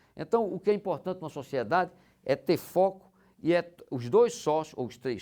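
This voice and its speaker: His intonation is lively. The man keeps to a moderate pace. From Rio Grande do Norte, Brazil (São Miguel). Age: 50s. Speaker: business executive. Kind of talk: casual interview. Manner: halting, many repetitions.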